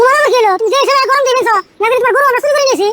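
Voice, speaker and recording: The cartoonish character voice is extremely high and races along at a very fast pace. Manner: cunning, defensive.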